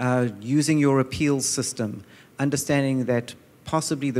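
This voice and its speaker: Keeping a moderate pace, a man speaks at a medium pitch with fairly even intonation. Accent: American. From outside the US. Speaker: insurance company executive, panelist. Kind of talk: panel discussion answer. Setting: conference panel with audience. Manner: many fillers and repetitions.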